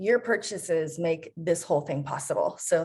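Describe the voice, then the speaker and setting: A normal speaking voice at a moderate pace, with lively intonation. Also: woman. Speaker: bookstore events host. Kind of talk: event introduction.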